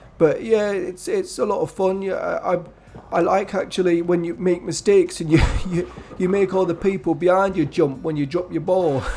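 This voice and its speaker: A man with a high pitch, fairly even intonation and a moderate pace, over noticeable background noise. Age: 70s. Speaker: gaming youtuber. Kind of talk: casual monologue. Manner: halting.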